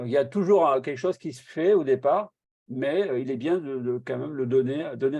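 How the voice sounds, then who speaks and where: This man talks very fast in a dark, mellow tone with ordinary pitch variation. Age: 50s. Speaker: online meeting host and product distributor. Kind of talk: testimony in group video meeting.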